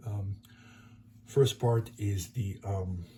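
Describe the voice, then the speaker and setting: Somewhat breathy, a man's dark, mellow voice moves with ordinary pitch variation. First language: French. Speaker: board game YouTuber. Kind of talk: tutorial. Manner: halting.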